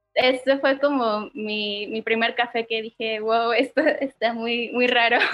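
A woman talks at a fairly slow pace in a fairly high pitch. Her intonation is monotone and flat, with hardly any pauses. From Mexico, Oaxaca. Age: 20s. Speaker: barista. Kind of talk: casual chat. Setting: video call.

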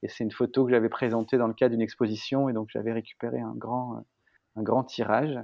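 A man's medium-pitched, monotone voice with flat intonation, fairly quick and with hardly any pauses. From northern France, Picardy. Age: 30s. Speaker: architect and artist. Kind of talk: interview. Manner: hesitant, many fillers.

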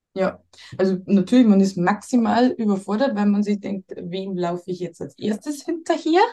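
Somewhat breathy and dark, mellow in tone, a woman speaks at medium pitch. Her intonation is lively and her pace moderate. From Bavaria. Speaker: mother seeking family advice. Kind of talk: coaching conversation.

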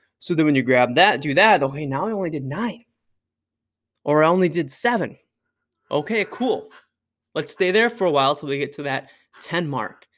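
Lively intonation and long, frequent pauses mark speech at a moderate pace in a very clean recording with a silent background. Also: man, fairly high pitch for a man. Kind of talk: coaching talk, instructing listeners on lifting technique. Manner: blunt, emphatic, coach-style cues with laughs; casual and conversational, filler words.

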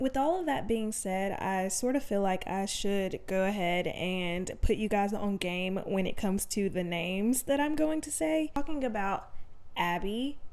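With audible room echo, a woman talks in a Southern US accent. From Alabama. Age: 20s. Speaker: podcast host. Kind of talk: casual monologue. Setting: home desk, no studio.

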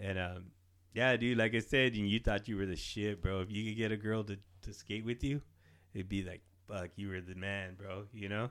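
Fairly low in pitch, a man uses a normal speaking voice at a moderate pace with fairly even intonation. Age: 40s. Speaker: podcast co-host. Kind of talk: casual chat.

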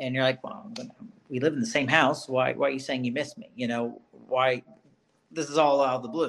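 A man with an Alabama accent, a fairly quick pace and big swings in loudness. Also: medium pitch for a man, ordinary pitch variation. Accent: Southern US (Alabama). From Birmingham, Alabama, US South. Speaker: school psychologist. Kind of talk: casual interview.

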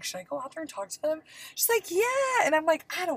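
A woman's put-on character voice, extremely high in pitch, with very wide pitch swings at a very fast pace

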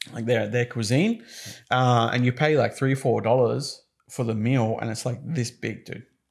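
This man has an Australian accent. He talks at a moderate pace with fairly even intonation. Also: medium pitch for a man. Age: 30s. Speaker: podcast co-host, business owner. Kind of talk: casual chat.

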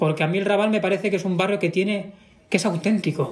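This man talks at a fairly quick pace in a high voice with fairly even intonation. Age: 20s. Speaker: drag performer. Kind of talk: casual chat.

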